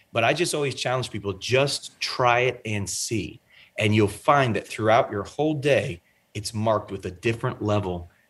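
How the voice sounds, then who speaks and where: A man talks in an ordinary speaking voice at a fairly low pitch and a moderate pace. His pitch varies in an ordinary way, and the background is quiet. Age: 30s. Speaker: pastor and author. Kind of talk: interview. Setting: video call.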